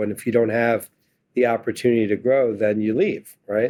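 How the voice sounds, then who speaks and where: A man with medium pitch and an unremarkable speaking voice at a moderate pace against a quiet background. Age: 60s. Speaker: investment firm founder and CEO. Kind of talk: interview. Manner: conversational.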